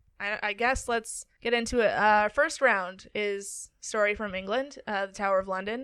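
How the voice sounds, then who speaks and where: Barely pausing, a woman talks at a moderate pace in a fairly high pitch and a bright, sharp tone, with ordinary pitch variation, on a very clean recording with a silent background. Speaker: podcast host and storyteller. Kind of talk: casual chat with story reading. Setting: studio with two mics.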